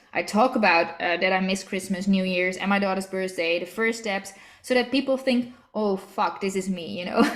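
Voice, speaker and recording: A woman with a Dutch accent at a moderate pace, against noticeable background noise. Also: medium pitch for a woman, ordinary pitch variation. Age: 30s. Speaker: network marketing team leader. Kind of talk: online training call.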